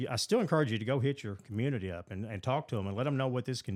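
Captured in a very clean recording with a silent background, a man talks at a very fast pace with a medium pitch, ordinary pitch variation and a Kentucky accent. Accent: Kentucky Southern American. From Western Kentucky. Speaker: mayor. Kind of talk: casual interview.

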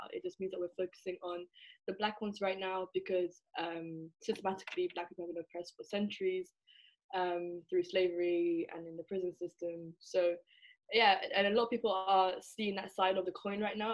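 A woman speaks in an English accent at a medium pitch. Her intonation is monotone and flat. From England. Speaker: university student. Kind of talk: interview.

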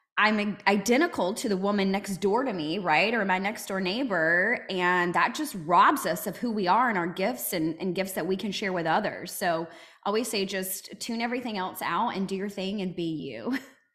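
A woman's normal speaking voice at medium pitch and a moderate pace, with ordinary pitch variation and hardly any pauses. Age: 30s. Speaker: motivational speaker. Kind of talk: casual chat.

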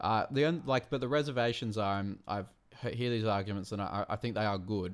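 This man speaks with an Australian accent. His voice sits fairly low, with ordinary pitch variation. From Australia, Wollongong. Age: 30s. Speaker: card game committee member. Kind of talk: casual chat.

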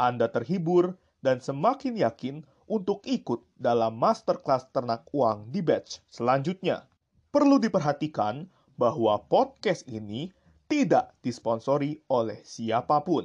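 Lively intonation marks this man's fairly high-pitched voice as he speaks at a fairly slow pace. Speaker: podcaster. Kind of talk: casual solo monologue review. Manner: animated, casual.

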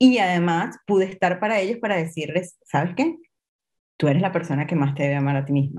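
Using an ordinary speaking voice, a woman talks at a fairly quick pace with lively intonation and a fairly low pitch. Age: 40s. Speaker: image coach. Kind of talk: interview.

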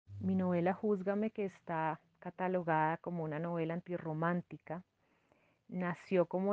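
A woman's fairly low voice at a moderate pace, flat and monotone in intonation. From Colombia, Cundinamarca near Bogotá. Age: 30s. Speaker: lawyer and writer. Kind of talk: interview.

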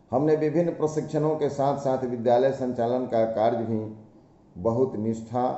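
With a normal speaking voice, a man holds a medium pitch and keeps his intonation fairly even. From India, Bihar (Saran district). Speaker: school teacher. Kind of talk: prepared autobiographical talk. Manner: formal.

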